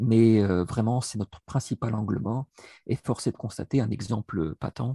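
A somewhat breathy man of medium pitch with a dark, mellow tone, fairly even intonation and a moderate pace, in a dry, close sound with no echo. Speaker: education professor, researcher. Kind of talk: interview. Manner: hesitant, repeats words.

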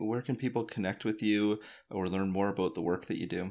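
Speaking very fast with a Canadian accent and ordinary pitch variation, this voice comes over a quiet background. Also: man. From Canada. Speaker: podcast host. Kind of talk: scripted narration.

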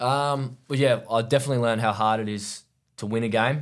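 A man in an Australian accent talks at a moderate pace with fairly even intonation on a very clean recording with a silent background. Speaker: professional cricketer. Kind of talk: casual chat.

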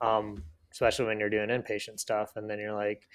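The speaker has an American accent, captured in a very clean recording with a silent background. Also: man. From Michigan. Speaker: physical therapist assistant. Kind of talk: casual chat.

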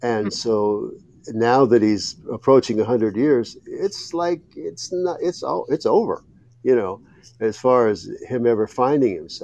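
A man with an American accent and a dark, mellow tone, medium-pitched, at a fairly slow pace with ordinary pitch variation. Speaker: author and former columnist. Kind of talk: interview.

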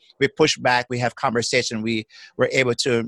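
Fairly quick, medium-pitched speech from a man, dry and close with no echo over a quiet background. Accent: Jamaican. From Jamaica. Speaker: psychotherapist. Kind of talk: casual chat. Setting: video call. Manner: halting.

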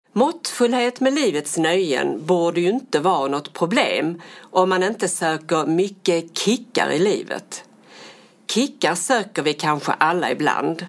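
A woman's ordinary speaking voice, fairly low-pitched and fairly slow, with lively intonation. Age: 60s. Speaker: podcast co-host. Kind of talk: casual chat.

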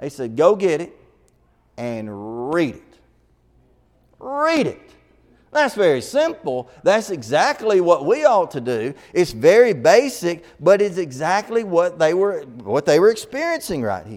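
A man with an American accent and a high pitch speaks at a fairly slow pace in an animated tone, with very wide pitch swings and big swings in loudness. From Alabama, US South. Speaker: preacher. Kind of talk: sermon, gospel meeting preaching. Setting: church with congregation. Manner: folksy.

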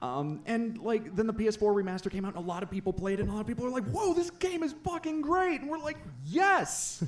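With noticeable background noise behind him, a man speaks high-pitched at a fairly quick pace, his pitch swinging very widely and hardly any pauses. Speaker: former co-host, returning guest. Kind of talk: casual banter.

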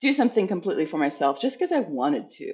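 A woman's fairly high voice with an American accent, very fast, with very wide pitch swings. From rural central Illinois, US. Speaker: museum executive director. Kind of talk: interview.

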